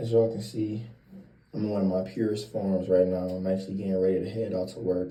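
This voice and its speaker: A man with an American accent speaks at a fairly quick pace, with a fairly low pitch and a dark, mellow, somewhat breathy tone. His intonation is fairly even, and audible room echo surrounds him. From Cleveland, Ohio, US Midwest. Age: 20s. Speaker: vlogger giving credit and life advice. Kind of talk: casual vlog monologue. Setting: getting ready for work early morning. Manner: casual, conversational.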